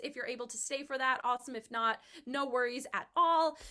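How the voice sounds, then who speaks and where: High-pitched and raised, a woman's projected voice has a bright, sharp tone and ordinary pitch variation. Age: 20s. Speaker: college student and online singing show host. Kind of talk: casual live video chat introduction. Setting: video call.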